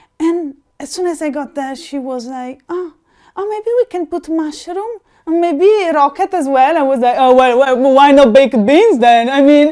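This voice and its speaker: In an Italian accent, a woman speaks in a dark, mellow tone with very wide pitch swings, on a very clean recording with a silent background. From Italy. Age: 30s. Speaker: interviewee. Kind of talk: interview. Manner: animated; halting.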